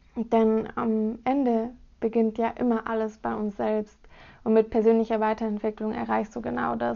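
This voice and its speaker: A woman at a moderate pace over a quiet background. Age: 20s. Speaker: podcast host, student. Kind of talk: solo podcast introduction.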